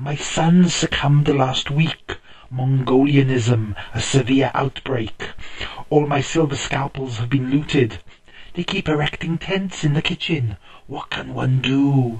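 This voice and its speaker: A put-on character voice speaks at a fairly slow pace. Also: man, medium pitch for a man. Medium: read story. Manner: relaxed, chuckling.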